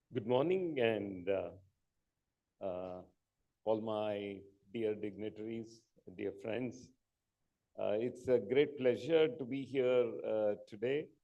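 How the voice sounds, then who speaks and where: A man at a medium pitch speaks at a very slow pace with ordinary pitch variation, long, frequent pauses, and audible room echo. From India, Karnataka (Mysore). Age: 60s. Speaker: entrepreneur. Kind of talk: conference talk. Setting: stage with audience. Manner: halting, many fillers.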